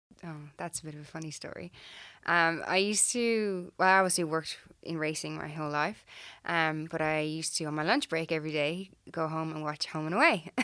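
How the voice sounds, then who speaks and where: A woman speaks fairly quickly with a strong Irish accent, her pitch very deep and low. Her loudness swings widely while her intonation stays fairly even, on a very clean recording with a silent background. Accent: Irish, still strong. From Ireland. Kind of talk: casual interview.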